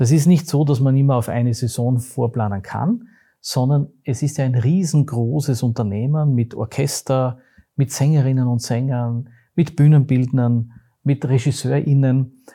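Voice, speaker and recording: On a very clean recording with a silent background, a man of medium pitch speaks at a fairly slow pace in a dark, mellow, somewhat breathy tone with fairly even intonation. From Austria, Graz (Styria). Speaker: theatre company managing director. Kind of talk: interview.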